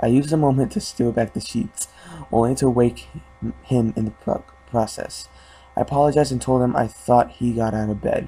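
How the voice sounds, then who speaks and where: With noticeable background noise, a man talks at a fairly quick pace, his medium pitch carried in fairly even intonation. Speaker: creepypasta narrator. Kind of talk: horror story reading. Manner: halting, some stuttering.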